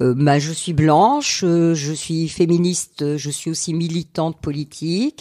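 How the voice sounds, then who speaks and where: Amid noticeable background noise, a woman with a fairly low pitch speaks at a fairly slow pace with fairly even intonation and hardly any pauses. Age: 60s. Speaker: retired teacher. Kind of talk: interview. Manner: halting.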